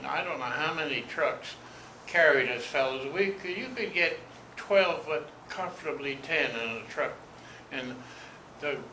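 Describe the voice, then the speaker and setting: A man talks at a fairly slow pace with lively intonation, leaving long, frequent pauses. Noticeable background noise runs under his voice. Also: fairly high pitch for a man. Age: 80s+. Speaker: war veteran. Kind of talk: interview answer.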